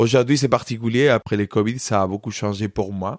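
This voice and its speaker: In a very clean recording with a silent background and a dry, close sound with no echo, a man with a Spanish accent speaks at a moderate pace and medium pitch with fairly even intonation. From Spain, Córdoba (Andalusia). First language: Spanish (speaking French). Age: 30s. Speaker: flamenco dancer and choreographer. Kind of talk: interview.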